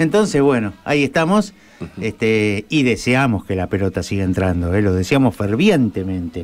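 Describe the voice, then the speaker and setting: Using a normal speaking voice, a man talks at a moderate pace with a fairly low pitch and lively intonation. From Argentina. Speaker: radio sports host. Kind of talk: casual radio chat. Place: studio. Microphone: studio mic.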